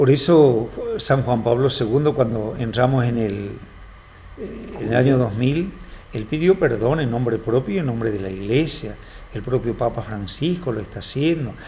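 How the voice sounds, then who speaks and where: Over noticeable background noise and audible room echo, a man speaks at a moderate pace with medium pitch and ordinary pitch variation. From Argentina, Formosa. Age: 50s. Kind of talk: TV interview.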